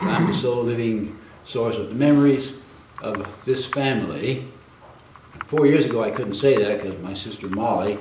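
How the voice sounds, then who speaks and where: Lively intonation marks this man's medium-pitched speech, delivered at a moderate pace with an American accent. Noticeable background noise and audible room echo come through. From US, early childhood in China. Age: 80s+. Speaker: elderly man recounting family history. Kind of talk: interview.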